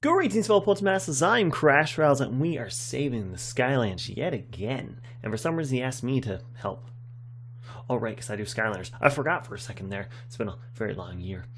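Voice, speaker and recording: A man talks at a fairly quick pace in a medium pitch, his intonation lively. His voice is somewhat breathy, with big swings in loudness. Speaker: gaming youtuber. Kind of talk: casual chat.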